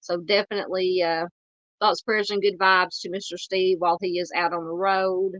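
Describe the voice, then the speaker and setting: A woman with a Southern accent speaks at a moderate pace in a medium pitch, her intonation monotone and flat. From US South, Arkansas. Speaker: true crime YouTuber. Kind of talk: live stream chat. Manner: halting, many fillers.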